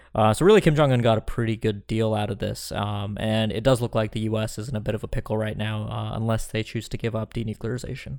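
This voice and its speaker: A man's fairly low voice at a very fast pace, hardly any pauses, with fairly even intonation. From India. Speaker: podcast host, foreign policy journalist. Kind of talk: analytical podcast discussion.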